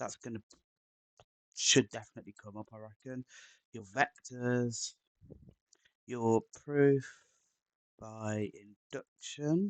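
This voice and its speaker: Speaking with an English accent at a very slow pace, this voice has fairly even intonation and a dry, close sound with no echo. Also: man. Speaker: maths tutor. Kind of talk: tutorial. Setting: live stream. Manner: halting, many fillers.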